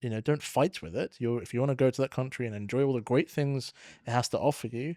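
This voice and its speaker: A man speaks at a very fast pace with a medium pitch, a dark, mellow tone and ordinary pitch variation. The recording is very clean with a silent background, the sound dry and close with no echo. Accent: London. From London, England. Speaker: podcast host, tax adviser. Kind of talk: interview conversation.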